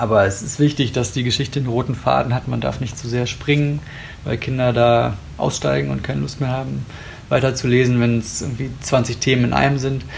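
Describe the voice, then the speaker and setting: Very fast speech with ordinary pitch variation, audible room echo, and noticeable background noise. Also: man. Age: 30s. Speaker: journalist, editor of children's news. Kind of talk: interview. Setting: recorded in a news agency office.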